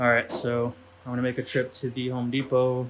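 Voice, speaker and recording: A man delivers his words fairly slowly, with light background noise in the clip. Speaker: home vlogger. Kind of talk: casual vlog chat. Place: garage. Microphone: phone near.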